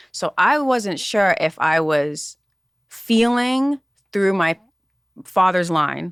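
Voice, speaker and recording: A woman with an American accent and a medium pitch speaks at a very slow pace with long, frequent pauses, very wide pitch swings and very even loudness, in a dry, close sound with no echo and a very clean recording, silent background. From US Northeast. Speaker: podcast co-host. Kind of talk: casual chat.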